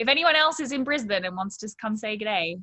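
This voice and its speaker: With an Australian accent, a woman talks at a moderate pace in a fairly high voice with lively intonation. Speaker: pastor. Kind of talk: interview.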